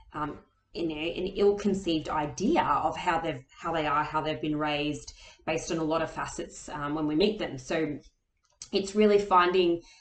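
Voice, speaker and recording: A woman's fairly low pitch with fairly even intonation. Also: moderate pace. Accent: Australian. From Australia. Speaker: author and booktuber. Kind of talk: casual vlog talk. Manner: hesitant, many fillers.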